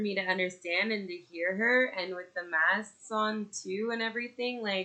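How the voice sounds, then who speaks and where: Speaking with a Canadian accent, a woman keeps a moderate pace and medium pitch with ordinary pitch variation. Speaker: podcaster and mother. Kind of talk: casual monologue. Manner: loud, projecting; halting, many fillers.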